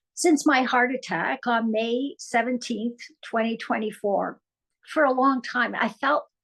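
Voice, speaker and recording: This woman speaks with a Canadian accent at a fairly slow pace. Her voice is high, with ordinary pitch variation. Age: 70s. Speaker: endurance athlete, heart attack survivor. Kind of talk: personal testimony.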